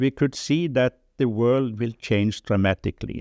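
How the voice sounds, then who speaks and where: A man's dark, mellow tone in a Norwegian accent, fairly slow and with lively intonation, the sound dry and close with no echo. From Norway. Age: 70s. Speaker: development charity chairman, former journalist. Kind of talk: interview testimony. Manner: halting.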